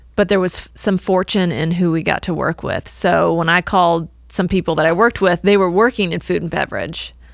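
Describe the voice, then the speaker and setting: A woman with a fairly low pitch and vocal fry speaks at a fairly quick pace with hardly any pauses and fairly even intonation, on a very clean recording with a silent background. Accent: American. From US Midwest, northwest Illinois. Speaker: marketing agency owner. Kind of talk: interview. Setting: studio.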